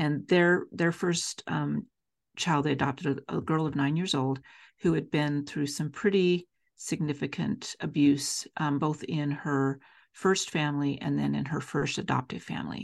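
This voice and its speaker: Against a quiet background, a woman with an American accent speaks at a moderate pace with vocal fry, a very deep, low pitch and ordinary pitch variation. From Utah (Salt Lake City). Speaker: foster care trainer. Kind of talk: interview conversation.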